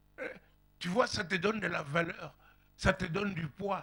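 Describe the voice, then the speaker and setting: A man uses a raised, projected voice with a high pitch. He talks at a very slow pace with ordinary pitch variation. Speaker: pastor. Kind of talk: sermon. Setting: church. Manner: animated.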